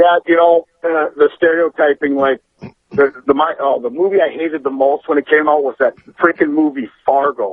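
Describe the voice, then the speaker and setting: A man with an American accent speaks at a moderate pace in a fairly high pitch, his intonation fairly even. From Minnesota. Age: 40s. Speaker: caller. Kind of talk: phone-in chat. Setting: phone call.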